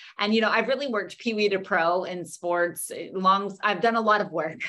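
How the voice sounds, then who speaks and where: This woman speaks at a moderate pace in a bright, sharp tone, with ordinary pitch variation. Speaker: presenter. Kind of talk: webinar lecture. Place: home room. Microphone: webcam.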